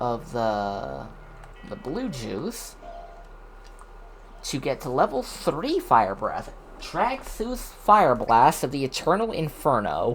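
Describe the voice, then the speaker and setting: The speech goes at a very slow pace with long, frequent pauses. Music plays in the background. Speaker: vtuber streamer. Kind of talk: casual chat. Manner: stutters.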